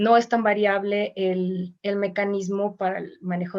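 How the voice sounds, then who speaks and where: The intonation is monotone and flat. A woman delivers it at a fairly slow pace. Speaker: voice teacher and choir singer. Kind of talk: online mini class.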